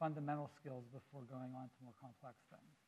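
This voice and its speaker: A somewhat breathy man's voice at a fairly quick pace. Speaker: education technology researcher. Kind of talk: panel talk. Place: stage. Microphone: lapel.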